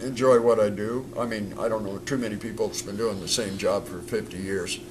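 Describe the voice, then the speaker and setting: Amid noticeable background noise and audible room echo, a man with a medium pitch speaks at a fairly quick pace with fairly even intonation. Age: 70s. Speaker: stuntman and film director. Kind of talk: casual interview chat.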